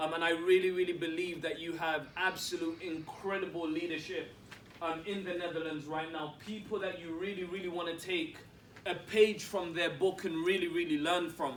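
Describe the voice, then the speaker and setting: With noticeable background noise and audible room echo, a man speaks in a high, monotone, flat voice. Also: moderate pace. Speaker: network marketing executive. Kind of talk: motivational talk. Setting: stage with audience.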